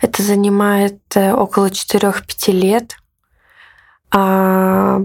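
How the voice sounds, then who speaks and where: The speaker is a woman. Her pitch is medium. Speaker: artist and activist. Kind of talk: interview.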